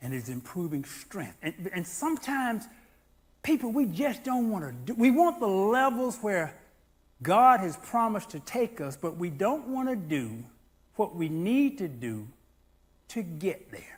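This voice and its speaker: A man's high-pitched voice at a fairly slow pace, with very wide swings in pitch. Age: 60s. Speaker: pastor. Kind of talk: sermon. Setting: church. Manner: animated.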